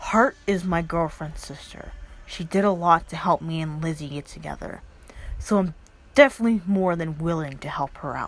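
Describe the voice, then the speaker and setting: In a put-on character voice, a woman sounds gruff, speaking at a moderate pace with a fairly low pitch. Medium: read story. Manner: gruff, curt.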